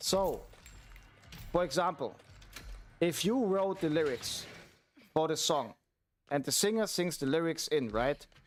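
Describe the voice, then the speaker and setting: A man with a German accent talks at a fairly slow pace, with long, frequent pauses. His voice is high-pitched, with lively intonation. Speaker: streamer and music producer. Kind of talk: casual livestream chat. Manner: halting, with fillers.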